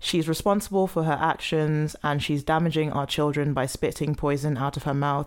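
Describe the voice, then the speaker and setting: A woman with a British accent speaks in a very deep, low voice with fairly even intonation. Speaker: podcast host. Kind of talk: casual banter podcast.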